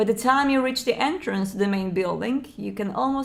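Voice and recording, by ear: The passage is read aloud in a natural voice.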